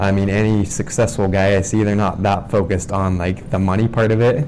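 This man has a plain, everyday voice, fairly low in pitch, with fairly even intonation. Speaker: podcast host. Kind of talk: casual interview. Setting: office.

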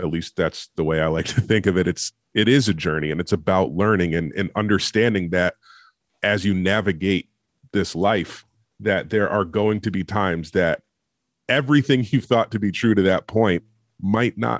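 An unremarkable speaking voice from a man, fairly low in pitch, with a dry, close sound and no echo. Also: very clean recording, silent background. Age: 30s. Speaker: podcast co-host. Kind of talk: casual chat.

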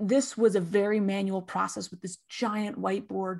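A woman speaks with an American accent in an ordinary speaking voice. Her pitch is medium with ordinary variation, and her pace is fairly slow. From California. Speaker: tech industry marketer. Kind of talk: podcast interview.

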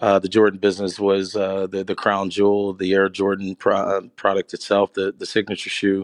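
A man with an American accent speaks at a fairly low pitch in a monotone, flat way. The sound is dry and close, with no echo. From Pittsburgh, US. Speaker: sports business founder. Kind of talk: interview. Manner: hesitant with many fillers.

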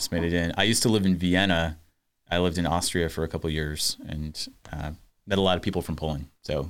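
A man talks at a very fast pace with a very deep, low pitch and fairly even intonation. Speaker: podcast host. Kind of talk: casual interview.

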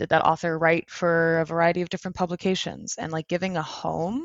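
Fairly low in pitch, a woman talks at a fairly quick pace. Hers is a plain, everyday voice. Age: 30s. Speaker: SEO agency director. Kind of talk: interview.

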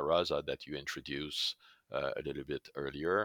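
At a moderate pace, someone speaks with a French Canadian accent in a dry, close sound with no echo, on a very clean recording with a silent background. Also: man. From Quebec, Canada. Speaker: pharmacist and scientist, chief scientific officer. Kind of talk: interview explaining technical topics.

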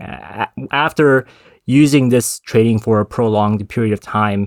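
With an American accent and a plain, everyday voice, a man talks at a moderate pace and medium pitch with ordinary pitch variation, in a very clean recording with a silent background and a dry, close sound with no echo. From Texas, Dallas. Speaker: tech startup CEO. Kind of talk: interview.

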